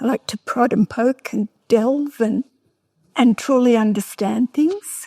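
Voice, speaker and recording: Speaking very slowly with an Australian accent, a woman uses a high, dark and mellow voice with ordinary pitch variation. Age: 70s. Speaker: painter and author. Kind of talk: festival talk interview.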